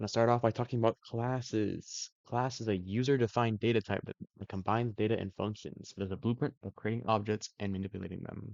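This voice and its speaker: A man at a medium pitch, very fast and with hardly any pauses, in fairly even intonation. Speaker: student. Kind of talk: tutorial. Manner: halting; casual.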